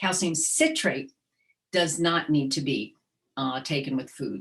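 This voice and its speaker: A woman speaks with a very deep, low pitch. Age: 60s. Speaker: dietitian. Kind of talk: webinar presentation with Q&A.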